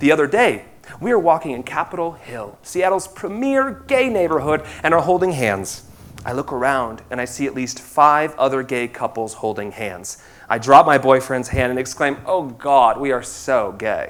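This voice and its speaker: A fairly high-pitched male voice with an American accent and lively intonation. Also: moderate pace. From US Midwest, rural Indiana. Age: 30s. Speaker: theatre director. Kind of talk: stage speech.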